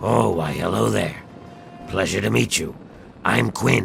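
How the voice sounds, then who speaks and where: Raspy put-on character voice at a fairly slow pace, over clear background noise. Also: man. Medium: short film.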